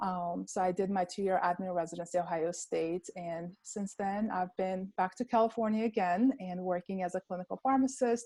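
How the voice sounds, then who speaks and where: Spoken in an Armenian accent, the voice has a dark, mellow tone and fairly even intonation. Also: woman, dry, close sound with no echo. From Armenia, Yerevan. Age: 30s. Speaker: pharmacist. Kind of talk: interview.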